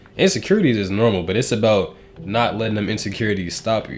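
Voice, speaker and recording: Music plays in the background as a man with a fairly low pitch talks at a very fast pace. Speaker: YouTuber. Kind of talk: motivational talk to camera. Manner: casual, filler-heavy.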